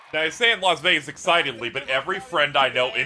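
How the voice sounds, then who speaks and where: A man with a fairly high voice speaks with lively intonation over noticeable background noise. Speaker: streamer reacting to game announcements. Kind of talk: casual reaction commentary. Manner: animated.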